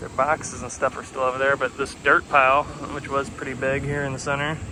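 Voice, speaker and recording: A man speaks at a fairly high pitch and a moderate pace. Noticeable background noise runs underneath. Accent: American. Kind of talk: casual walking tour narration.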